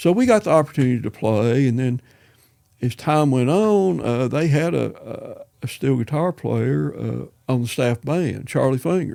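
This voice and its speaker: Speaking at a moderate pace, a man talks with a Southern US accent. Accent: Southern American. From East Tennessee. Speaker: retired musician and school principal. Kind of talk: interview answer. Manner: casual, rambling.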